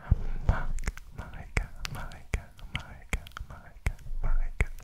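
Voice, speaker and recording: The whispering voice belongs to a man. His pace stays moderate. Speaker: streamer. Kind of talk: soft whispered repetition of names. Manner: repeated close-mic ASMR whisper. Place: home room. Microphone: studio mic.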